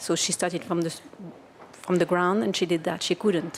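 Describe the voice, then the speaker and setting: A woman is talking. Her speech has a French accent. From France. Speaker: audience member, kinesiologist. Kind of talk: audience question. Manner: halting.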